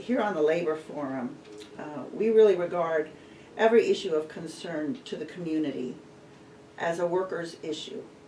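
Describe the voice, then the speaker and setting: The speaker keeps a moderate pace. Noticeable background noise is present throughout. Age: 60s. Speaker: radio host. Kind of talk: interview. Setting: studio.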